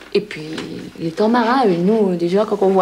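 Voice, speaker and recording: A woman at medium pitch and moderate pace, against noticeable background noise. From northern France, near Roubaix. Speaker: villager, mother of large family. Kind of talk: interview testimony. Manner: hesitant.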